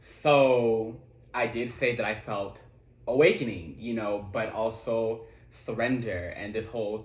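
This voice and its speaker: A man talks in an animated tone with a somewhat breathy quality, and audible room echo surrounds his voice. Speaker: tarot reader. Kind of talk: tarot reading.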